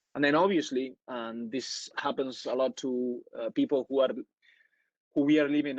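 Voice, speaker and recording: A man speaks in a Spanish accent at a medium pitch. His pace is moderate and his intonation fairly even. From Spain, Madrid. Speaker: networking speaker. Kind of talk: webinar talk. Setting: online webinar. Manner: halting, many fillers.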